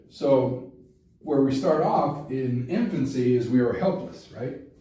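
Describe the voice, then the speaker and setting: At a very slow pace, a man speaks at medium pitch amid audible room echo. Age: 60s. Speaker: congressional candidate and teacher. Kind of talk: campaign explainer talk. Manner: casual, conversational with fillers.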